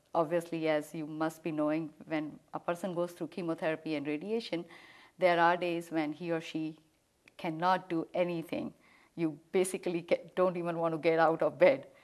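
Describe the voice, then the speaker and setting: A woman with an Indian accent talks at a moderate pace in a fairly low pitch and a monotone, flat intonation. The recording is very clean, with a silent background. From India, New Delhi. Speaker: cancer survivor, homemaker. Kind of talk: interview.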